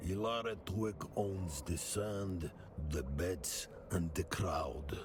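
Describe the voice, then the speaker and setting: A man talks at a very slow pace in a put-on character voice over clear background noise. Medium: video game. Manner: cold, measured.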